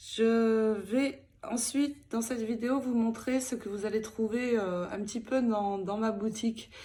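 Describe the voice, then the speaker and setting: A woman's dark, mellow tone comes through at a very slow pace. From France (Picardie). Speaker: scrapbooking YouTuber. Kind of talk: casual vlog announcement. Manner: halting, many fillers.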